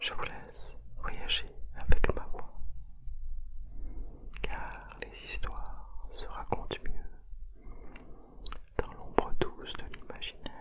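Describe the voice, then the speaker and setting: A woman whispers at a very slow pace, with long, frequent pauses. Her loudness swings widely, and background noise is noticeable. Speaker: ASMR creator. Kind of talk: guided meditation ASMR visualisation. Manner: whispered, soft, slow.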